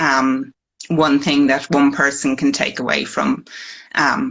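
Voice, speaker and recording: Speaking very slowly against a quiet background, a woman with an Irish accent has a very deep, low pitch and a bright, sharp tone. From Ireland. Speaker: fertility patient sharing her story. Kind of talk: personal testimony. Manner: hesitant, many fillers.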